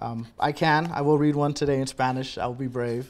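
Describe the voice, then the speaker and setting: On a very clean recording with a silent background, a man with a normal speaking voice talks at a moderate pace, his fairly high pitch varying in an ordinary way. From US, Texas and military moves; Panamanian and Puerto Rican parents. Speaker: poet. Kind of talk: interview.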